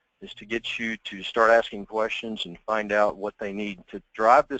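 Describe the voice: A man talks with a bright, sharp tone. The sound is dry and close, with no echo.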